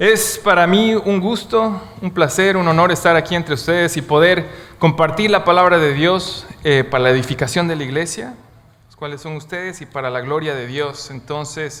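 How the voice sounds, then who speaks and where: Amid audible room echo, a man with a high pitch speaks at a moderate pace with ordinary pitch variation and big swings in loudness. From Bolivia. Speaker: guest preacher. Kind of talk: sermon. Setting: church.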